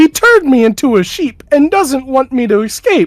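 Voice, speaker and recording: The speaker uses a put-on character voice at a moderate pace. Its pitch is high. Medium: actual play. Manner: anxious, snappy.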